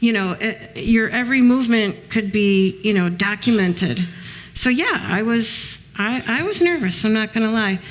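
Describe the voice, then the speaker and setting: With an American accent, a woman speaks at a moderate pace in a fairly high voice with ordinary pitch variation, noticeable background noise behind her. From Chicago. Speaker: author and former mob wife. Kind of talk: panel talk with audience. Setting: museum event with audience. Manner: hesitant, many ums.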